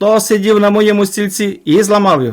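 A man puts on a squeaky character voice, pitched high. He speaks at a moderate pace. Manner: upset, plaintive.

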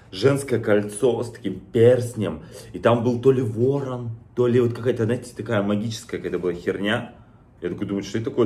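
Fairly quick, somewhat breathy male voice with a dark, mellow tone. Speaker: vlogger. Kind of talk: casual vlog chat, unboxing. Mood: amused, relaxed. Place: kitchen. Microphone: phone near.

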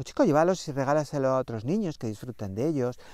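A man with ordinary pitch variation, dry sound with no echo, and a quiet background. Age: 50s. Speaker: astrology coach. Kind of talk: spiritual astrology talk to camera. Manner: animated, chatty. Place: open country. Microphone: lapel.

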